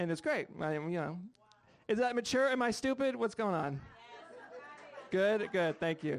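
Crowd noise fills the background as a man with a high pitch talks in an animated tone, with very wide pitch swings. He moves at a moderate pace, broken by long, frequent pauses. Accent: American. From Rhode Island, US. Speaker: stand-up comedian. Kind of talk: stand-up comedy set with crude, bawdy storytelling. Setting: stage with audience. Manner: animated, punchy storyteller; brash, self-mocking, conversational.

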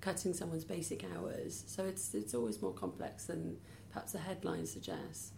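Amid audible room echo, a woman in a South Wales accent talks at a moderate pace with very wide pitch swings. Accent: Welsh (south Wales). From Wales, near Cardiff. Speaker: charity chief executive. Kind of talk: interview.

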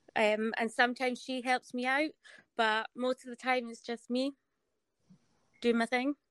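A woman with a Scottish accent speaks at a moderate pace in a high, flat monotone, with long, frequent pauses and a dry, close sound free of echo. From Scotland. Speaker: foot model. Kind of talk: casual chat. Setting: video call.

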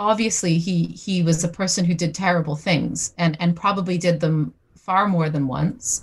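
A woman speaks at a moderate pace. Her voice is medium in pitch and somewhat breathy. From Newfoundland, Canada. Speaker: historian. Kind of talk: interview. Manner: hesitant with repetitions.

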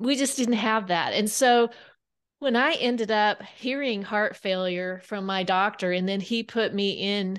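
A woman with an American accent speaks in an unremarkable speaking voice at medium pitch. Her intonation is fairly even, her pace moderate and the background quiet. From Kansas. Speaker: author. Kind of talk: interview.

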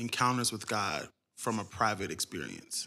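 A man with an American accent, medium pitch and a bright, sharp tone, in a very clean recording with a silent background. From Cincinnati, Ohio. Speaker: worship leader and singer. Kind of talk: casual podcast interview.

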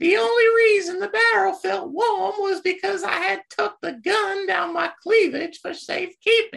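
A woman speaks at a moderate pace in an extremely high pitch, with ordinary pitch variation. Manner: haughty, flustered.

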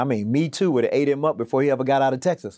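A man speaks at a fairly quick pace with ordinary pitch variation, an unremarkable speaking voice. The recording is very clean with a silent background. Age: 50s. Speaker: state legislative speaker. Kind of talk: interview.

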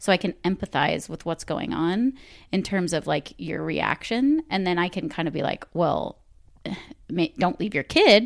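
A woman with vocal fry and lively intonation talks at a moderate pace. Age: 30s. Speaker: podcast guest, mother. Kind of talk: casual chat. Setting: home recording corner.

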